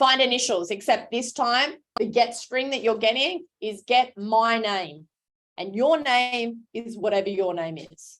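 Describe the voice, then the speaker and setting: In an animated tone, a woman speaks at a fairly high pitch. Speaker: teacher. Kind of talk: classroom lecture. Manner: loud.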